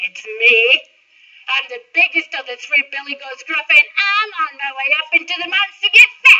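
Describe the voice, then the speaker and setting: Her pace is moderate. This woman puts on a high-pitched character voice. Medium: read story. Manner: bold.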